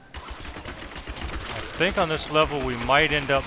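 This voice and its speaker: A man speaks over noticeable background noise. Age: 40s. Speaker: gamer. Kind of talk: gameplay commentary. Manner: halting.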